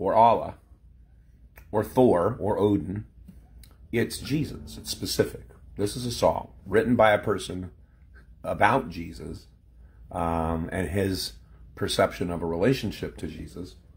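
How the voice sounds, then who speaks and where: Speaking at a fairly slow pace with long, frequent pauses, a man with a fairly low, somewhat breathy voice uses lively intonation and big swings in loudness. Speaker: former pastor. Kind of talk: casual vlog chat. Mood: reflective, wry. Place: home room. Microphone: phone near.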